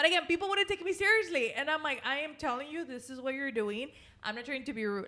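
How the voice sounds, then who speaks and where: Very fast and animated, a woman's raised, projected voice with a bright, sharp tone swings very widely in pitch. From Mexican-American household, US. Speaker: podcast host. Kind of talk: casual chat. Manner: loud.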